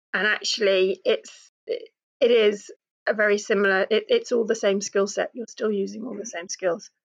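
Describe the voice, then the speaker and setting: In a British accent, a woman speaks at a moderate pace, her sound dry and close with no echo. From Britain. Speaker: new coach. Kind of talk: interview.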